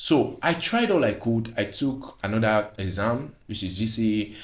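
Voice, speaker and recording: A man's somewhat breathy voice at a medium pitch. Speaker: vlogger. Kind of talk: personal testimony monologue.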